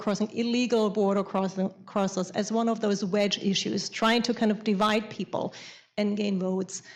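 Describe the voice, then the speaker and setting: A woman with a German accent, fairly high in pitch, with fairly even intonation at a moderate pace. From Germany. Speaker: panelist. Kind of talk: panel discussion.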